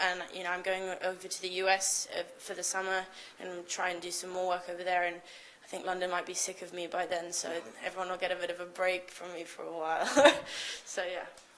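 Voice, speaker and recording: A woman at a medium pitch and fairly quick pace, with noticeable background noise. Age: 20s. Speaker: illustrator and designer. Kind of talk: interview. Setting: shop window. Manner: hesitant, many fillers.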